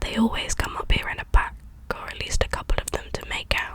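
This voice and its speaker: Someone whispers over noticeable background noise. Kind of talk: audiobook-style reading, ASMR bedtime reading. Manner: soft-spoken.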